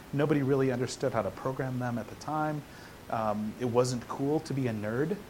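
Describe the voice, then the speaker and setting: With a General American accent, a man speaks in an ordinary speaking voice at medium pitch. He has ordinary pitch variation and a fairly quick pace. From US Midwest. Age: 40s. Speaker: tech engineer. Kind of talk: interview.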